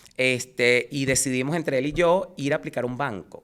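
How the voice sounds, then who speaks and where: A man speaks with a Venezuelan accent and ordinary pitch variation. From Venezuela, Caracas. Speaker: insurance agent. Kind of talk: interview.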